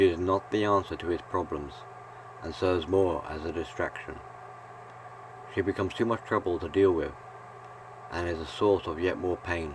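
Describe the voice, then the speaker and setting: Soft-spoken and calm in tone, a man talks with a very deep, low pitch at a moderate pace. He leaves long, frequent pauses. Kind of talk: reflective video essay narration. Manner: calm, soft-spoken; monotone.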